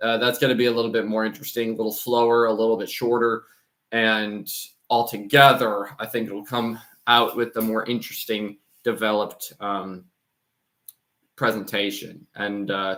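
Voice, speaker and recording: A man with an American accent speaks at medium pitch in a bright, sharp tone, monotone and flat, at a moderate pace. The recording is very clean with a silent background. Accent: pronounced American. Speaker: channel host reading Greek church texts. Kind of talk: casual talk to camera about channel plans. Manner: many fillers and repeated words.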